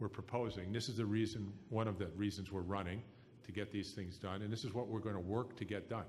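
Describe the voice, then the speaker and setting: This man has a plain, everyday voice, fairly low in pitch, and talks at a fairly quick pace. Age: 60s. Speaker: political candidate. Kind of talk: political debate answer. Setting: live radio forum.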